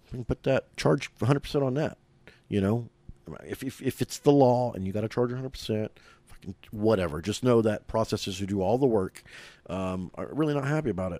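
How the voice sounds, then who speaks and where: In a very clean recording with a silent background and a dry, close sound with no echo, a man with an American accent speaks at a moderate pace in a dark, mellow tone with ordinary pitch variation. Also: medium pitch for a man. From Oklahoma City. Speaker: cannabis brand owner. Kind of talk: casual chat.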